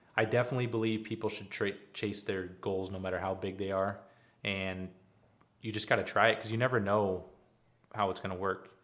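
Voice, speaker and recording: With monotone, flat intonation, a man speaks at a fairly low pitch. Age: 30s. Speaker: glass company owner. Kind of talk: interview.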